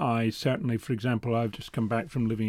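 A man's medium-pitched voice with a Scottish accent and a dark, mellow tone. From Scotland. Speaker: newspaper reporter. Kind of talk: interview.

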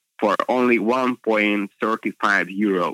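Very slowly and with a Hungarian accent, a man speaks at a fairly low pitch in a bright, sharp tone, his intonation fairly even and the sound dry and close with no echo. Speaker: motoring journalist. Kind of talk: interview. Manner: hesitant, with fillers.

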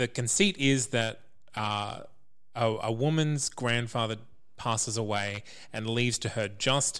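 This man has a plain, everyday voice at medium pitch. He speaks at a fairly slow pace with fairly even intonation. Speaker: podcast reviewer. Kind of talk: casual chat.

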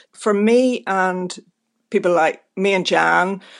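A woman speaks with a Belfast accent. Her intonation stays fairly even over a quiet background. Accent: Belfast Northern Irish. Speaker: writer and playwright. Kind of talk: interview.

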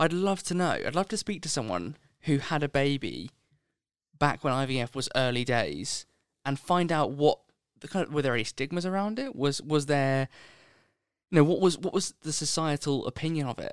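An ordinary speaking voice comes through. The delivery is neither fast nor slow, at a moderate pace. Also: man, fairly high pitch for a man. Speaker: podcast co-host and editor. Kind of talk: casual chat.

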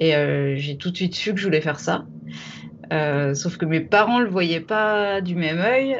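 The intonation is lively while the pace stays fairly slow. Long, frequent pauses break up the speech. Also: woman, fairly low pitch for a woman. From France, Champagne (Troyes). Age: 40s. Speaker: deep-sea diver. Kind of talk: interview storytelling. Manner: halting, many hesitations.

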